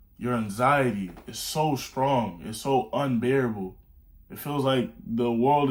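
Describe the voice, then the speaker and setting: A man speaks in an animated tone with ordinary pitch variation. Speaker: self-improvement YouTuber. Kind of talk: motivational talk. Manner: fast.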